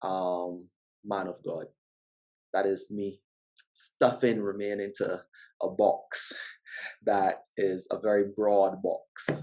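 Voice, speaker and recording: A man with a strong Barbadian accent speaks very slowly in a fairly low pitch with a dark, mellow tone, fairly even intonation, and long, frequent pauses. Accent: Barbadian, noted by himself as strong. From Barbados. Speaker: podcast guest, father. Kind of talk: casual interview chat.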